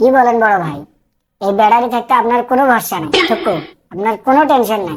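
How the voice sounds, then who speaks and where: Putting on a cartoonish character voice, a woman speaks fairly quickly with a fairly high pitch and lively intonation. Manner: eager, flattering.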